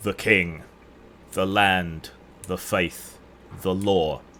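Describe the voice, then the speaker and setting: A man puts on a booming character voice at a very deep, low pitch. He speaks at a very slow pace with monotone, flat intonation. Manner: solemn, declaring.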